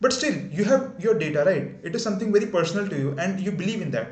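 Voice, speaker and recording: A man talks at a very fast pace. Room echo can be heard around his voice. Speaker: YouTuber. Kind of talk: unscripted video introduction. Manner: halting, stuttering at times.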